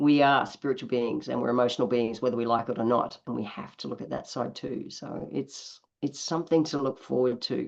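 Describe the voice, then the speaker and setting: A woman's very deep, low voice with an Australian accent and vocal fry, with hardly any pauses. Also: ordinary pitch variation, fairly quick pace. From Australia, east coast. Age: 60s. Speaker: naturopath. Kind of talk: interview.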